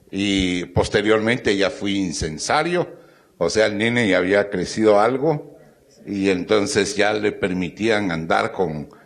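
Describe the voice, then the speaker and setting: Speaking very slowly, a man uses lively intonation at a fairly low pitch. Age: 80s+. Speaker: procession participant, panelist. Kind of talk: panel talk, personal recollection.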